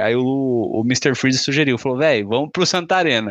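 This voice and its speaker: Here is a man with a plain, everyday voice and a fairly high pitch. His intonation is lively and his pace moderate. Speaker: podcast host. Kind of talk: casual chat.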